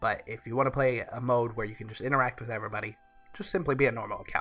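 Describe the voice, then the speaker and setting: A man at a medium pitch, talking very fast over background music. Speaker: gaming YouTuber. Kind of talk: game review talk.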